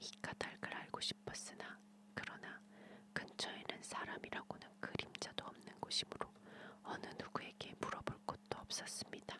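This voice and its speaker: A whispered voice with a soothing tone moves at a fairly slow pace over noticeable background noise. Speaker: ASMR storyteller / channel host. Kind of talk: bedtime story reading, ASMR whispered fairy tale. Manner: whispered, soothing.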